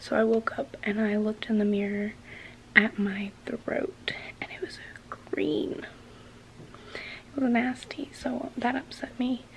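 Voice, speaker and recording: Light noise sits in the background. Over it, a woman talks at a very slow pace. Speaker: vlogger. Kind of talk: casual vlog chat. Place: home room. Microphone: phone near.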